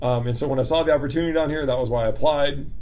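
Audible room echo surrounds the speech. A man with an American accent talks at a very fast pace. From Central California. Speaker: YMCA director. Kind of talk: interview.

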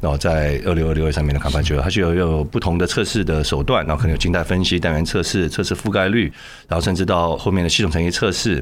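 A man talks at a very fast pace with a very deep, low pitch and very even loudness. His pitch varies in an ordinary way over noticeable background noise. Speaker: tech company co-founder. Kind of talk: interview.

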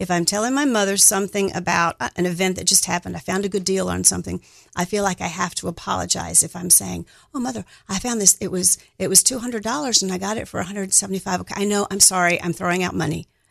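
A woman with a medium pitch and vocal fry talks at a very fast pace with ordinary pitch variation, in a dry, close sound with no echo and a quiet background. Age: 60s. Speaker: counselor, financial client. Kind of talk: interview.

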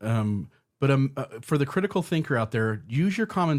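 In a very clean recording with a silent background, a man with an unremarkable speaking voice at medium pitch talks at a fairly quick pace with lively intonation. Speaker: podcast co-host. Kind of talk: casual chat.

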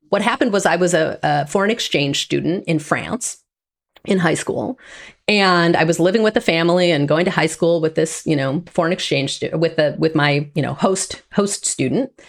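A woman with a normal speaking voice, fairly low in pitch, talks at a moderate pace with ordinary pitch variation and very even loudness over a quiet background. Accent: American. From Wisconsin (Green Bay). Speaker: author. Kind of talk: interview conversation.

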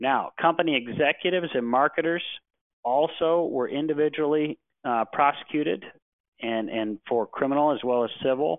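In an American accent, a man speaks at a moderate pace with a fairly high pitch and ordinary pitch variation. His is a plain, everyday voice. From US Midwest (Cleveland, Ohio). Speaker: healthcare regulatory attorney. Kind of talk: webinar presentation.

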